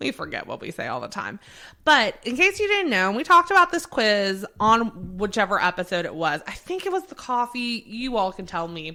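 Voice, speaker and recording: On a very clean recording with a silent background, a woman with an American accent speaks at a moderate pace and fairly high pitch in a bright, sharp tone, with very wide pitch swings and big swings in loudness. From Maryland, then North Carolina from age 11. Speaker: podcast co-host. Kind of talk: casual chat.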